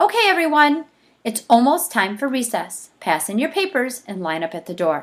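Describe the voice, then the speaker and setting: In a put-on character voice, a woman speaks at a high pitch and a moderate pace with very wide pitch swings and big swings in loudness, on a very clean recording with a silent background. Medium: read story. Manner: firm, authoritative.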